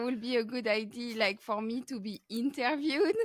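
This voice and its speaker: Speaking at a moderate pace with a French accent, a woman uses a high pitch and ordinary pitch variation. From France. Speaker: podcast host, crochet artist. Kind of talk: casual interview chat. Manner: halting, many fillers.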